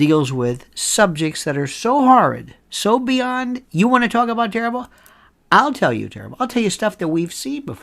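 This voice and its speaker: Animated and high-pitched, a man's voice shows very wide pitch swings and big swings in loudness. The recording is very clean, with a silent background. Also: moderate pace. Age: 60s. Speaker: legal commentator, former lawyer. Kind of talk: opinion monologue rant.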